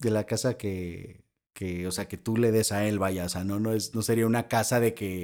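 A man speaks with a Mexican accent. His pitch sits fairly low. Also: moderate pace, very clean recording, silent background. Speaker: podcast host. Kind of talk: casual interview.

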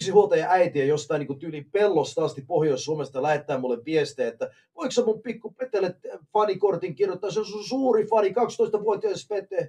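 A man talks at a fairly quick pace with a high pitch and lively intonation. His tone is dark and mellow. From Canada, Finnish immigrant family. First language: English (speaking Finnish). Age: 40s. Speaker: professional wrestler. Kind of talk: casual chat.

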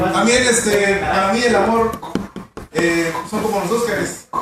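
A man talks in an animated tone with a Mexican accent, his pitch varying in an ordinary way. Background noise is noticeable throughout. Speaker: stand-up comedian. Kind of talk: stand-up comedy roast about love, rapid-fire punchlines and political jokes. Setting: stage with audience. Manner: animated, irreverent, crude; punchline-driven with audience laughter.

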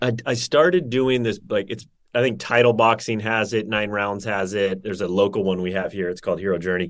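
With an American accent, a man speaks in an ordinary speaking voice at a fairly low pitch, fairly quick and with hardly any pauses, using ordinary pitch variation. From Northern California. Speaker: wellness entrepreneur. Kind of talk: casual interview chat.

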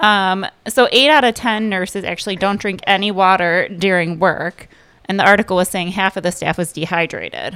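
With an American accent, a woman talks at a moderate pace in a medium pitch, her bright, sharp tone showing ordinary pitch variation on a very clean recording with a silent background. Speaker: segment contributor, mother. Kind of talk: casual chat.

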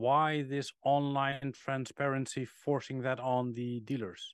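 A man's very slow, monotone, flat delivery at medium pitch with a Dutch accent, dry and close with no echo against a quiet background. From Netherlands. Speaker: car podcast co-host. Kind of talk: casual chat.

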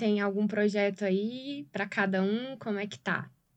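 A woman with a slight Goiás accent speaks fairly slowly at medium pitch, with ordinary pitch variation. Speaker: podcast host. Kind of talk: interview hosting.

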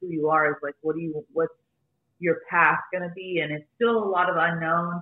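Using an ordinary speaking voice, a woman keeps a moderate pace and fairly even intonation. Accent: American. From Arizona, US (Phoenix). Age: 20s. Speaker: podcaster and former makeup artist. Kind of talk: interview, personal story.

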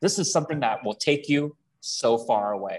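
A somewhat breathy voice with lively intonation comes through over a quiet background. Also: man. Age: 30s. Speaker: real estate agent. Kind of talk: interview.

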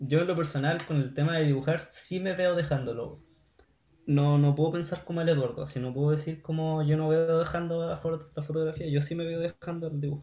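A man with a Chilean accent speaks at a fairly quick pace in a fairly high pitch, with monotone, flat intonation. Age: 20s. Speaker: software developer. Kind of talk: casual chat.

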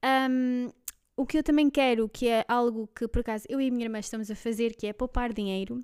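In a very clean recording with a silent background, a woman speaks at a high pitch and a fairly quick pace, her intonation fairly even. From Belgium. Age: 20s. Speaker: podcast co-host, office worker. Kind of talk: casual chat.

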